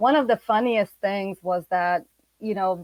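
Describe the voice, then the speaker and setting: A woman with an ordinary speaking voice talks at a moderate pace and medium pitch with ordinary pitch variation, in a dry, close sound with no echo on a very clean recording with a silent background. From Bosnia, resettled to California as a young kid. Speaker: refugee aid organization staff. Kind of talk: panel discussion.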